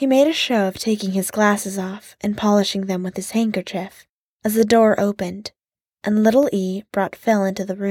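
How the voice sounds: Against a quiet background, a natural reading voice comes through with fairly even intonation.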